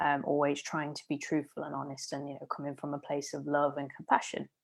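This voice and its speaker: In a very clean recording with a silent background, a woman talks in a Leicester accent. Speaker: podcast host. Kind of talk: solo podcast monologue. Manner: casual, with filler words.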